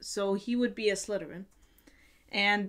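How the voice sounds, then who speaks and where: Behind this woman's speech, the background stays quiet. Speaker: video blogger. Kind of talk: casual vlog chat. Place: home room.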